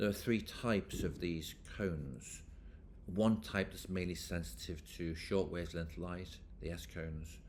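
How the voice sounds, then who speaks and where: A man's very deep, low voice with vocal fry, at a fairly slow pace, with ordinary pitch variation and audible room echo. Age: 60s. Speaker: professor. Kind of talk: lecture.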